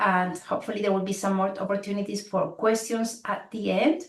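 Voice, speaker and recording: A woman with a Spanish accent, somewhat breathy. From Spain. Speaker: program director. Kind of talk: orientation presentation.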